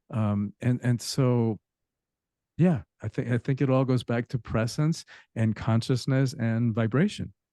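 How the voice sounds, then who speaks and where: In a dry, close recording with no echo and a quiet background, a man with a dark, mellow tone speaks at a fairly slow pace with ordinary pitch variation. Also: medium pitch for a man. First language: Spanish. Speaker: author and spiritual teacher. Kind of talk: podcast interview.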